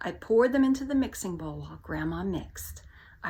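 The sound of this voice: Someone reads a passage out loud. The reading voice is unforced.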